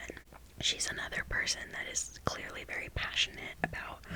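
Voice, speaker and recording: A woman is whispering at a moderate pace. Noticeable background noise sits behind her. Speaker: ASMR creator. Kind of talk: ASMR whispered ramble. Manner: whispered.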